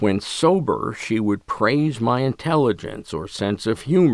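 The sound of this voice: Lively intonation in an unforced reading voice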